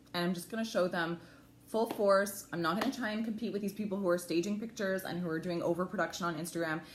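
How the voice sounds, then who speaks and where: Over noticeable background noise, the speaker talks at a very fast pace with fairly even intonation. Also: woman, medium pitch for a woman. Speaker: lifestyle blogger. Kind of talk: livestream talk. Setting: at home, live video. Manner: loud.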